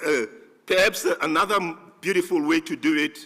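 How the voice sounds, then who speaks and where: The voice is loud, with a bright, sharp tone and very wide pitch swings. It moves at a very slow pace. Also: man. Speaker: conference organizer giving closing remarks. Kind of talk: closing remarks at a conference. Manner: halting, many fillers and restarts.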